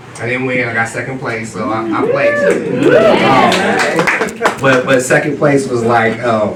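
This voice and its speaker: With an American accent, a man speaks at medium pitch and a very slow pace, his intonation lively. Noticeable background noise and audible room echo fill the recording. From US West Coast, East Oakland, California. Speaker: children's book author. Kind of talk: panel discussion.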